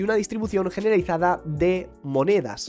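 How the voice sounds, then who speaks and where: A man at a fairly quick pace with ordinary pitch variation, faint music in the background. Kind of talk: commentary. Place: home room. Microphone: studio mic.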